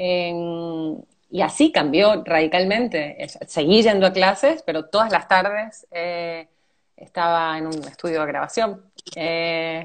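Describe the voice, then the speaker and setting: A woman's fairly low-pitched voice at a very slow pace, with big swings in loudness and ordinary pitch variation. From Venezuela, raised by Argentine parents. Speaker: actress. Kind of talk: interview. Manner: hesitant, many fillers.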